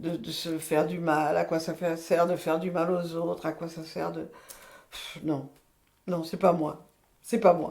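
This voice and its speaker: A woman speaks fairly slowly in a fairly low pitch with vocal fry and monotone, flat intonation. Her loudness swings widely, and she leaves long, frequent pauses. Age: 80s+. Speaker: retired midwife. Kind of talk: testimony. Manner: halting.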